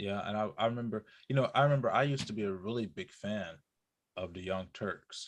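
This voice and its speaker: This man speaks at a fairly quick pace with a Southern US accent and a fairly low pitch. His pitch varies in an ordinary way against a quiet background. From US South. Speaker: podcast co-host. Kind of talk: casual chat. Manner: halting.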